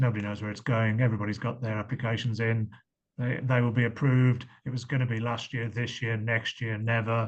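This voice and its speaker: A somewhat breathy voice with an English accent and fairly even intonation. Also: man. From England. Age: 50s. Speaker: medical device company founder pitching investors. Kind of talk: investor pitch Q&A on video call.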